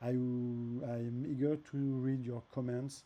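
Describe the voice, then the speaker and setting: A man's dark, mellow voice at medium pitch, with a French accent and monotone, flat intonation. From France. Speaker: app developer. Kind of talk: tutorial. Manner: halting, with many fillers and repeats.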